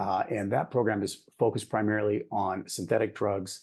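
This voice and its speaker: A man talks at a fairly low pitch against a quiet background. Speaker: program head at an international drug control body. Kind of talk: conference presentation. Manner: fast; animated.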